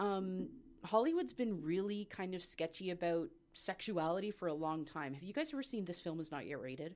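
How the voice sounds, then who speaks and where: Here is a normal speaking voice in a Canadian accent. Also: woman, fairly low pitch for a woman, lively intonation. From Canada, Ottawa. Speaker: customer service worker, podcast guest. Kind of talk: casual chat.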